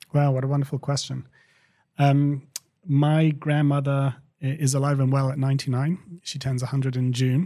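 A man's fairly high, somewhat breathy voice with a dark, mellow tone, monotone, flat intonation and a moderate pace. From England. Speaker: company co-founder and CEO. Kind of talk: interview conversation.

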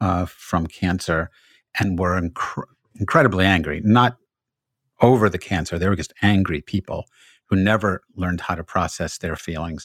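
Recorded very cleanly against a silent background, a man with a very deep, low pitch speaks at a moderate pace with ordinary pitch variation. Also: dry, close sound with no echo. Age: 70s. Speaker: podcast host, rabbi. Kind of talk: interview. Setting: podcast.

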